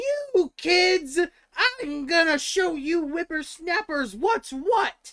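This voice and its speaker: A shrill, shouted put-on character voice at an extremely high pitch and a very slow pace. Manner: screaming, shrill, scolding.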